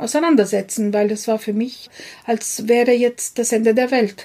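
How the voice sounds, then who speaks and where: Her voice is fairly high in pitch yet dark and mellow in tone, and this woman keeps her intonation fairly even. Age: 50s. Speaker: business founder. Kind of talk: interview. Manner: halting.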